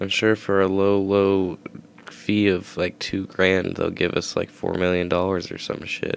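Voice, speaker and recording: A man talks quietly at a fairly slow pace in a fairly low pitch. His intonation is monotone and flat. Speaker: podcast host. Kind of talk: casual chat. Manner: quiet, low volume.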